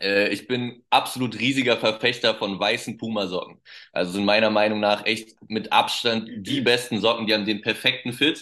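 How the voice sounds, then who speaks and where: Speaking at a moderate pace with fairly even intonation, a man has an ordinary speaking voice at medium pitch. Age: 20s. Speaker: children's pastor. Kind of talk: casual interview.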